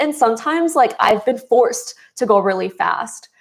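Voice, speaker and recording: The speaker has an American accent and vocal fry, at a moderate pace. It is a very clean recording with a silent background. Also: woman. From US Midwest, Chicago. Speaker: beauty influencer. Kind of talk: livestream chat. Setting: livestream.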